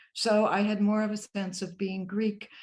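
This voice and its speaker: A woman speaks with an American accent and a somewhat breathy voice. The background is quiet. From US Midwest, Chicago. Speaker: folklorist. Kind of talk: oral history interview.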